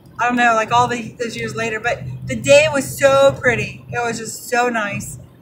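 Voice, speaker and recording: Music runs underneath speech delivered at a moderate pace. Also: woman. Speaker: mail carrier vlogger. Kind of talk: casual vlog chat. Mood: cheerful, laughing. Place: car. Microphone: phone near.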